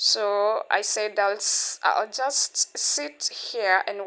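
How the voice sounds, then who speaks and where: A woman with a non-native accent speaks at a fairly high pitch in a bright, sharp tone. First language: not English. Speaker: vlogger. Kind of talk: casual vlog talk. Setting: outdoors at a beach.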